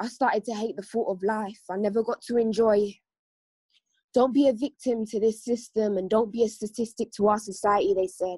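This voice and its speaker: A somewhat breathy woman speaks at a fairly high pitch and a fairly quick pace. Her intonation is fairly even, and the sound is dry and close with no echo. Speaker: spoken word poet and care leaver. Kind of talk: spoken word performance and personal testimony. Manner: more intense when performing.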